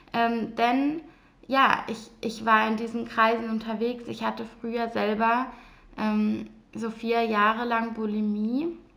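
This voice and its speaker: A woman's fairly high voice at a very slow pace, monotone and flat, with audible room echo. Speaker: mindset coach and podcast host. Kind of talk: solo personal monologue.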